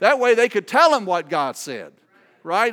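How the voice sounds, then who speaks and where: A man with a Southern US accent talks with very wide swings in pitch. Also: very clean recording, silent background. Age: 60s. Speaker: visiting preacher. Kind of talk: sermon. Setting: church with congregation. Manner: informal, humorous, hesitant with many fillers.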